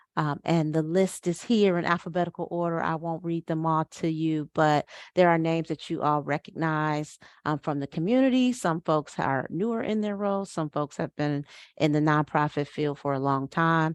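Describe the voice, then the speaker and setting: Her pitch is very deep and low, with ordinary variation. The woman keeps a moderate pace. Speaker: nonprofit executive director, event chair. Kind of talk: information session presentation. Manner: many filler words.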